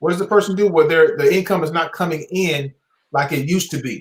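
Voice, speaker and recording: This man talks with an animated tone and a high pitch. His pace is fairly quick. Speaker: internet marketer. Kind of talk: live stream. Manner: halting.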